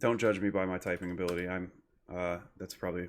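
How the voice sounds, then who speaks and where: At a moderate pace, a man with an American accent speaks in a very deep, low voice on a very clean recording with a silent background. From Michigan, US. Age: 30s. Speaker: graduate student instructor. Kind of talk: screen-recorded tutorial. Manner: casual, hesitant with fillers. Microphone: new desktop microphone.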